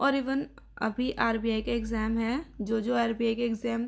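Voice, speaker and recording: Her monotone, flat intonation sits at a fairly high pitch as a woman speaks. The recording is very clean with a silent background. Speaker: exam aspirant vlogger. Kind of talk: casual vlog narration.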